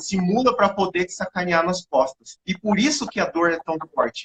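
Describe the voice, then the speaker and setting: With a high pitch and ordinary pitch variation, a man speaks at a moderate pace in a dry, close sound with no echo. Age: 30s. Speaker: live stream host. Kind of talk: casual chat.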